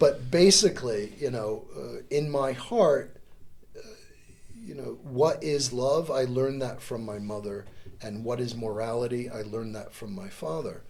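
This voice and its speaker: A man speaks at a medium pitch with ordinary pitch variation and big swings in loudness, and the room echo is audible. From US Northeast, New York State and Connecticut. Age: 60s. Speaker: volunteer and lawyer, democracy course teacher. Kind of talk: casual interview chat.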